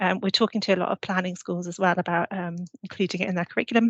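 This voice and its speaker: The speaker has a British accent and talks at a very fast pace. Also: woman. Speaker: urban planning consultant. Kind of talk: webinar presentation.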